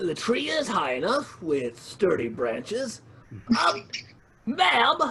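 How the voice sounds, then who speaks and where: A put-on character voice at middle pitch makes very wide pitch swings. It moves at a fairly slow pace with long, frequent pauses. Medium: audio drama. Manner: wordy, fussy, easily rattled.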